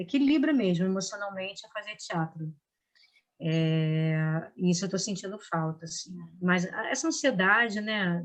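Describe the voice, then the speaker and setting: At a medium pitch and moderate pace, a woman speaks with lively intonation and a somewhat breathy voice. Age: 60s. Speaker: actress and drama teacher. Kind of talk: interview. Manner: halting, with many restarts.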